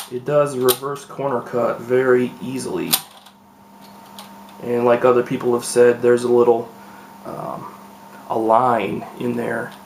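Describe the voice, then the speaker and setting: With noticeable background noise behind him, a man speaks at a medium pitch in a monotone, flat delivery marked by long, frequent pauses. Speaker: speedcube reviewer. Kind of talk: product unboxing and first impression. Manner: quiet, hushed; hesitant, many fillers.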